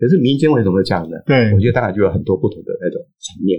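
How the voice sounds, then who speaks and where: Somewhat breathy, a man races along at a very fast pace with lively intonation. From eastern Taiwan (Hualien). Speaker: anthropologist and author. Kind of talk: interview. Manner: halting, many filler sounds.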